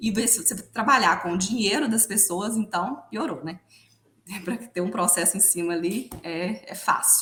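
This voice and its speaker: Against noticeable background noise, a woman with a Minas Gerais accent speaks fairly slowly at a medium pitch with ordinary pitch variation. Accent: mineiro. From Minas Gerais, Brazil. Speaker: financial consultant. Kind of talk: podcast interview.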